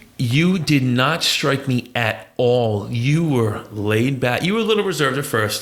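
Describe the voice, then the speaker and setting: At a fairly slow pace, a man of medium pitch speaks with lively intonation and very even loudness, with audible room echo. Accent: American. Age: 40s. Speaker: podcast host. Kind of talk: casual interview chat.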